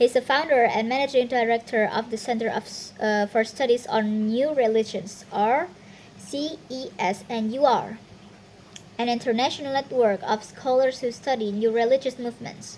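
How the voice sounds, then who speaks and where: At a moderate pace, a woman with a non-native accent speaks in a fairly high voice with ordinary pitch variation. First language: not English. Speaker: university student. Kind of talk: reading aloud. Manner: halting, with self-corrections.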